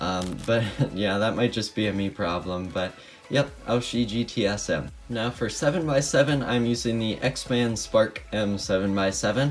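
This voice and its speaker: A man speaks at a moderate pace with a fairly low pitch. His pitch varies in an ordinary way, and there is noticeable background noise. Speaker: speedcuber. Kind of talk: casual talk to camera, product showcase.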